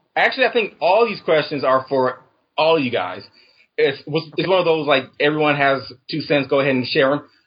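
An ordinary speaking voice from a man, fairly high in pitch, with lively intonation at a fairly quick pace. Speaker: caller. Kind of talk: casual chat. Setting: call-in.

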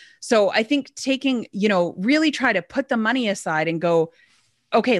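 A woman with a Canadian accent has a plain, everyday voice at a fairly high pitch and lively intonation, recorded dry and close with no echo on a very clean track with a silent background. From Alberta, Canada. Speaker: business owner. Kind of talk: interview.

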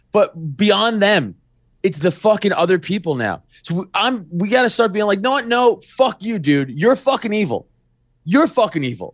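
Lively intonation at a moderate pace with an American accent, on a very clean recording with a silent background. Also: man, high pitch for a man. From New York City (Staten Island). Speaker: podcaster and local party official. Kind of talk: casual political chat. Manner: animated.

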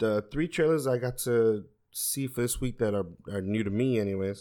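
Over a silent background in a very clean recording, a man speaks at a fairly low pitch with fairly even intonation. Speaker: podcast co-host. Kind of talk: casual chat.

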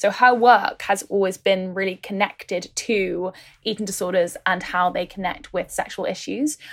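Speaking in an ordinary speaking voice, a woman keeps a moderate pace, medium pitch and fairly even intonation. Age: 20s. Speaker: writer and podcast host. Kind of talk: casual interview.

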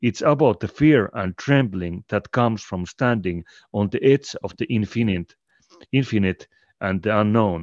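A man with a Finnish accent talks at a moderate pace, with fairly low pitch and ordinary pitch variation, in a dry, close sound with no echo. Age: 40s. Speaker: podcast host and collective co-founder. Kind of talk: casual interview conversation.

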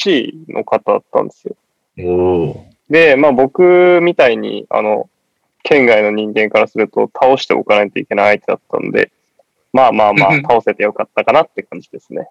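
Dry, close sound with no echo at a moderate pace. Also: man. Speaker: basketball fan guest. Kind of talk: casual chat.

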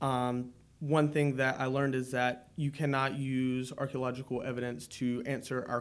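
A man with a plain, everyday voice at medium pitch, fairly even intonation and a moderate pace. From North Carolina, Wake County area. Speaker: university student researcher. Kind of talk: interview.

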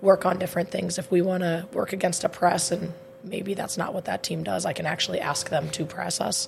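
A woman at a very fast pace, fairly low in pitch, with ordinary pitch variation and noticeable background noise. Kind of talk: casual chat. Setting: studio.

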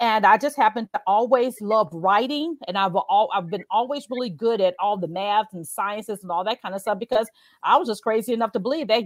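Animated and lively in intonation, a woman with a slight Southern US accent talks at a fairly quick pace and fairly high pitch, in a dry, close sound with no echo and a very clean recording over a silent background. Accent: slight Southern twang. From Chicago, US. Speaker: career coach. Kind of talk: interview. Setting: live stream.

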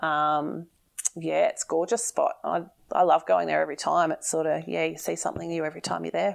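Talking fairly quickly, the woman has an Australian accent. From Victoria, Australia (Bendigo). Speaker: fishing tackle shop owner and angler. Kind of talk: casual interview chat. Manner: hesitant with frequent fillers.

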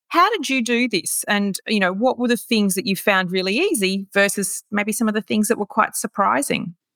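A woman with an Australian accent and a fairly high pitch talks at a moderate pace with hardly any pauses. The sound is dry and close, with no echo. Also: ordinary pitch variation. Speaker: podcast host. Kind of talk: interview.

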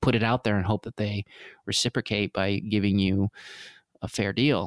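A man with a Canadian accent speaks at a fairly low pitch and a fairly even intonation. The sound is dry and close with no echo, in a very clean recording with a silent background. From Vancouver, Canada. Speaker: film director and cinematographer. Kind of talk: interview.

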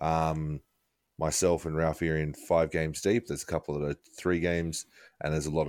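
A man with an Australian accent speaks very fast in a very deep, low voice and a flat monotone. The recording is very clean with a silent background, dry and close with no echo. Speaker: podcast co-host. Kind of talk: casual chat.

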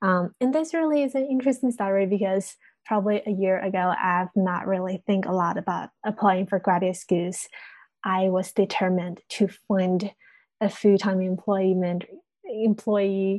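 Speaking at a moderate pace in a Chinese accent, a woman uses a medium pitch with ordinary pitch variation. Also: quiet background. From China. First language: Mandarin Chinese. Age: 20s. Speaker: university student. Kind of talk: interview.

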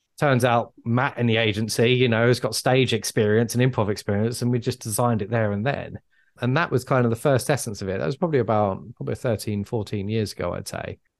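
A man with a southern English accent talks at a very fast pace with hardly any pauses. His medium pitch shows ordinary variation against a quiet background. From England. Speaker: public speaking coach. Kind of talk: casual chat.

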